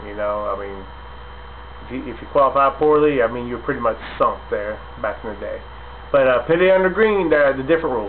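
Against light background noise, a man talks at a fairly quick pace. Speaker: racing fan commentator. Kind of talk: casual vlog commentary. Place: home room. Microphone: webcam.

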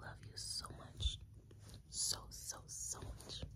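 A woman is speaking. Loud background noise runs behind her. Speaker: content creator. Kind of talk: intimate affirming monologue to camera. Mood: tender, soft, affectionate. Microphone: phone near.

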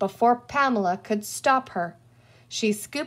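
Reading done in an unforced voice

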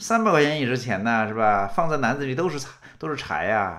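A man speaks in a bright, sharp, animated tone, his pitch swinging very widely. The background is quiet. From rural China. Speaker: political commentator. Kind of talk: political commentary monologue. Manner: repetitive stammering. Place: home room.

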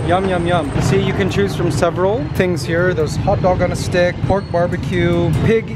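A man with a high pitch speaks at a moderate pace, with ordinary pitch variation. Clear music plays in the background, and the sound is dry with no echo. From Canada, Toronto. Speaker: vlogger. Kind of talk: travel vlog. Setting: outdoors. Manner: animated. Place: street. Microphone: phone near.

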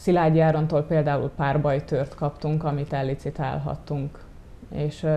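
Her voice is very deep and low, with a dark, mellow tone. The woman speaks at a moderate pace in monotone, flat intonation. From Hungary, Gyöngyös; Hungary. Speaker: volunteer photographer; interview guest. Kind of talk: TV interview. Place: studio. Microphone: lapel.

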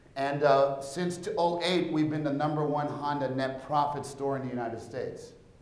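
A man speaks with fairly even intonation, and room echo is audible. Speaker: conference presenter. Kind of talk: presentation talk. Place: hall. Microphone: lapel.

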